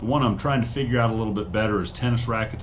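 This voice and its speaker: A man speaks with audible room echo. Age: 50s. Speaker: online reseller and channel host. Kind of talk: casual monologue. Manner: hesitant, many fillers.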